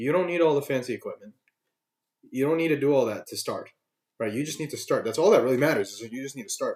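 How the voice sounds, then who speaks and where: A man talks at a very fast pace in an animated tone. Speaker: vlogger. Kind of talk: casual monologue to camera. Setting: home webcam recording. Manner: halting. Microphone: laptop webcam, no external mic.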